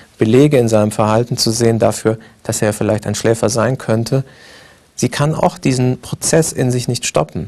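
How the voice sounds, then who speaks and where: This man has an unremarkable speaking voice, medium in pitch and fairly quick in pace. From Libya and Egypt (Tripoli, Cairo). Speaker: film director. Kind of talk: interview.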